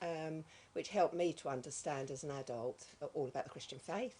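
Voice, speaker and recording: Here a woman speaks with a very deep, low pitch and ordinary pitch variation. Her tone is dark and mellow. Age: 60s. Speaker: retired volunteer. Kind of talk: testimony. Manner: hesitant, many ums.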